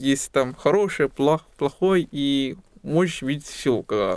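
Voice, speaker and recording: In a very clean recording with a silent background, a man speaks fairly slowly at a fairly high pitch with ordinary pitch variation. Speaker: guest, doctor and musician. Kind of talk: casual interview. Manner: halting, grammatical errors in Russian.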